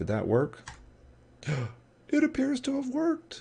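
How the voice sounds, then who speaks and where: A man talks at a moderate pace. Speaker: game programming live streamer. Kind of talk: live coding stream. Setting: live stream.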